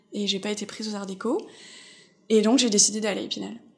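A woman with a slight North American accent speaks at a fairly high pitch. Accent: slight North American inflections in French. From France, Alsace. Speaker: illustrator. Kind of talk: interview narrative. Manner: hesitant, many fillers.

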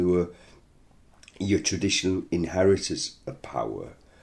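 This man has a northern English accent. His voice is somewhat breathy. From northern England. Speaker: interviewee, former miners' strike supporter. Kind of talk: interview conversation. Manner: repeats words, halting at times.

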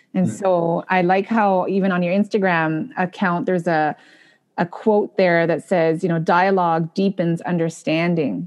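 Against a quiet background, a woman with a fairly low voice talks at a moderate pace, with ordinary pitch variation and very even loudness. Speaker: podcast host and speech-language pathology professor. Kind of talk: interview. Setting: video call. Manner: enthusiastic.

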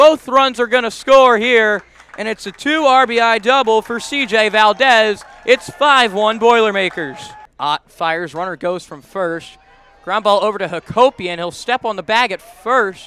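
A raised, projected voice at a fairly slow pace over noticeable background noise. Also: man, high pitch for a man, ordinary pitch variation, big swings in loudness. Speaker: baseball radio announcer. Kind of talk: live baseball play-by-play commentary. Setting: radio broadcast highlights.

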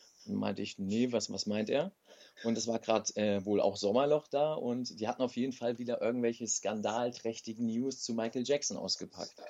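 A normal speaking voice from a man, medium in pitch, with fairly even intonation and a fairly quick pace. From Germany. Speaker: professional wrestler. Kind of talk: interview.

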